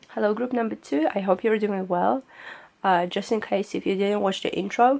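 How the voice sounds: Taking on a put-on character voice, a woman sounds raspy and hoarse at a medium pitch and a moderate pace.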